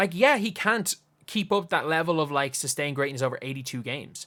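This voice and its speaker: A man's bright, sharp, fairly high voice in an Irish accent at a fairly quick pace, on a very clean recording with a silent background. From Ireland. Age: 20s. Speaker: basketball YouTuber. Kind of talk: casual commentary monologue. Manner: conversational, with false starts.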